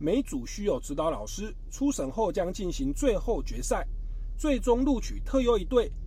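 A moderate pace and lively intonation amid audible room echo. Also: man. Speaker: radio host. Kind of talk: radio talk show interview.

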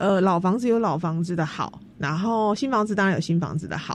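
This woman has a normal speaking voice at medium pitch. Her intonation is lively and her pace moderate. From Taiwan, Tainan. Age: young. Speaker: heritage house restoration organizer. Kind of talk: radio interview.

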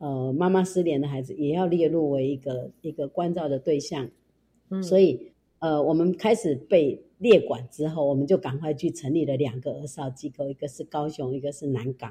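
This woman's pitch is very deep and low, with ordinary pitch variation. Her voice is somewhat breathy and has a dark, mellow tone. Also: moderate pace. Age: 60s. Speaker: shelter founder. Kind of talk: interview.

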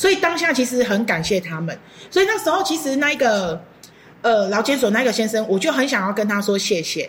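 With a Taiwanese accent, a woman talks at a fairly quick pace in a fairly high voice with very wide pitch swings, over noticeable background noise. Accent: Taiwanese Mandarin. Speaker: horticultural therapist. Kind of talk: interview.

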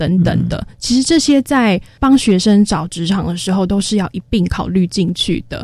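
Somewhat breathy and medium in pitch, a woman talks at a moderate pace with lively intonation and hardly any pauses. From Taiwan, Taoyuan. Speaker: special education teacher. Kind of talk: radio interview.

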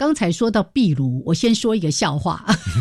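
Somewhat breathy and animated, a woman with a Taiwanese accent speaks at a moderate pace with very wide pitch swings. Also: very clean recording, silent background. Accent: Taiwanese Mandarin. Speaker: radio host. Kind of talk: educational radio chat.

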